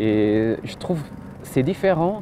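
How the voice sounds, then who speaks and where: A man speaks at a medium pitch, with noticeable background noise behind him. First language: not French; learned French after moving to Switzerland (speaking French). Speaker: doctoral student. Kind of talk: interview. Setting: outdoors, university courtyard. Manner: halting.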